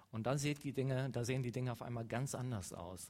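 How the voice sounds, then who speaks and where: This man has a normal speaking voice, medium in pitch, and talks at a fairly quick pace. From western Germany, Leverkusen. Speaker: mission organization speaker. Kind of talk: church talk.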